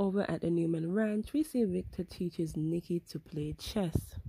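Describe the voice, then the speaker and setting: A woman talks at a fairly slow pace in a fairly low, somewhat breathy voice with a dark, mellow tone. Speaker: soap opera recap host. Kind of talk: episode recap narration.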